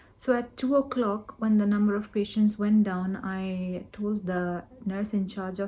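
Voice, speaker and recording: In a Keralan accent, a woman speaks with a dark, mellow tone, somewhat breathy and in a monotone, flat intonation. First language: Malayalam. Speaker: doctor vlogger. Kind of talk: personal storytelling vlog. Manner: code-switching English and Malayalam.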